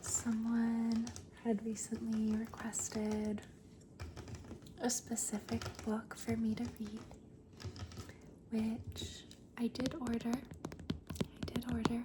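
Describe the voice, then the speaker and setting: Very slow speech broken by long, frequent pauses, with noticeable background noise. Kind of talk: ASMR rambling talk to camera. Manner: whispered, soft-spoken.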